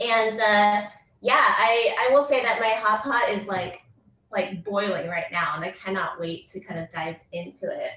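A woman with an American accent talks at a fairly slow pace, with ordinary pitch variation and big swings in loudness. Audible room echo and light background noise are present. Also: fairly high pitch for a woman. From US. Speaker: poet and professor; poet, professor. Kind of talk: poetry reading. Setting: video call. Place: home room. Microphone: far from the computer; webcam.

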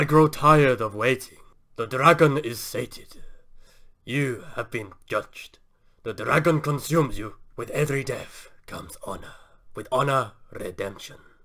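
The speaker is a man putting on a character voice. His pitch sits in the medium range. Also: moderate pace. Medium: solo performance. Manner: solemn, commanding.

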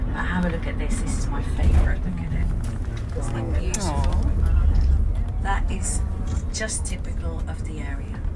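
Over loud background noise, the speaker moves at a moderate pace, broken by long, frequent pauses. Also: woman. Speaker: tour guide. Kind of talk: tour commentary. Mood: enthusiastic. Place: bus.

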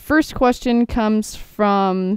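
Recorded very cleanly against a silent background, a woman with a fairly high pitch speaks in an American accent. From Texas. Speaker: gaming YouTuber. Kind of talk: Q&A over gameplay commentary. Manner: casual, rambling.

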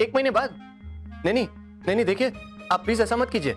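Faint music plays in the background as a man with a high pitch speaks at a moderate pace, using ordinary pitch variation. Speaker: actor in TV drama. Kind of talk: scripted drama dialogue. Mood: anxious, pleading. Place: home room.

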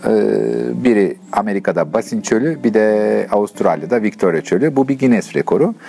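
A man speaking at a moderate pace over light background noise. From Turkey. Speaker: long-distance touring cyclist. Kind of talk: interview answer. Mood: relaxed, animated.

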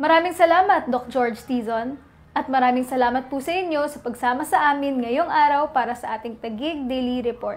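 A woman speaks fairly quickly in a high pitch. Her volume swings widely. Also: ordinary pitch variation. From Philippines. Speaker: youth council federation chair, co-presenter. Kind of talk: show introduction and sign-off, polite broadcast host. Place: office. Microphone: lapel.

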